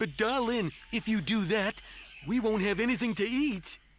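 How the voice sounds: A man's cartoonish character voice, high-pitched, at a moderate pace.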